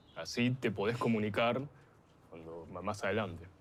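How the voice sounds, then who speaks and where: A man with an Argentine accent speaks at a fairly low pitch and a moderate pace, with ordinary pitch variation and audible room echo. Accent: Rioplatense Argentine Spanish. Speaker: documentary interviewee. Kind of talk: casual chat.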